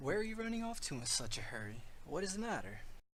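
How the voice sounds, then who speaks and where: A man in a put-on character voice, high-pitched and very fast. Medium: audio drama. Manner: calm, inquisitive.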